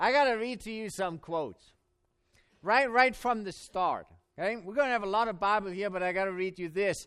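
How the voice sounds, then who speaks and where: Delivered at a fairly quick pace in an animated tone, the speech sits on a very clean recording with a silent background. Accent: German. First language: German. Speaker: Bible professor and preacher. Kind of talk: sermon at a camp meeting. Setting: church or camp meeting with audience. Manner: animated, humorous.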